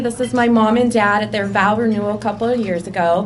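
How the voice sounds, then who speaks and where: A woman talks at a fairly quick pace in a fairly high pitch. Noticeable background noise and audible room echo surround her voice. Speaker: accountant. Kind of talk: personal presentation. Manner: loud.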